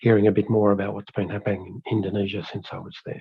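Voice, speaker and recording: Speaking at a very fast pace, a man has a fairly low pitch. His voice is somewhat breathy. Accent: Australian. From Australia. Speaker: fire management expert presenter. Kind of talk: webinar presentation. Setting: online webinar.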